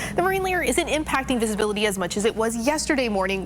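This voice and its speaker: Talking at a very fast pace, a woman with a fairly high pitch swings her voice very widely over noticeable background noise. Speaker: TV news anchor, weather anchor and reporter. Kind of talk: TV weather forecast delivery.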